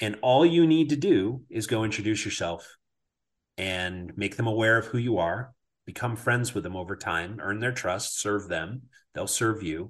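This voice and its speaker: Against a quiet background, a man with an unremarkable speaking voice and a fairly low pitch talks at a moderate pace with lively intonation. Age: 50s. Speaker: podcast host. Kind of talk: casual interview chat. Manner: filler-heavy, conversational.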